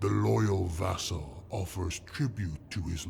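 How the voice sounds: The speaker uses a natural reading voice.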